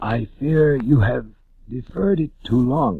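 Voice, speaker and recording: A man speaks in a put-on character voice at a fairly slow pace. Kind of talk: audiobook reading. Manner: feeble.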